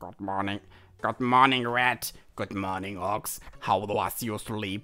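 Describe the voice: Speaking fairly slowly, a man puts on a character voice. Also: fairly low pitch for a man.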